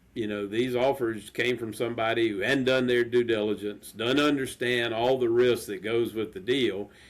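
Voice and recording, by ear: A man at a medium pitch, with a moderate pace and fairly even intonation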